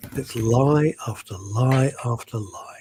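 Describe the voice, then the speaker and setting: A somewhat breathy man with a British accent speaks with ordinary pitch variation in a dry, close sound with no echo. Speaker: talk show co-host. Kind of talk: casual chat.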